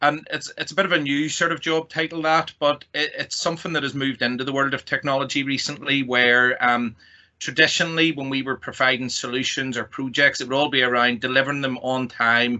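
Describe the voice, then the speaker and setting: In a Northern Irish accent, a man speaks at a fairly quick pace with hardly any pauses, a fairly high pitch and fairly even intonation. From Northern Ireland. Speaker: technology company executive. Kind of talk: presentation.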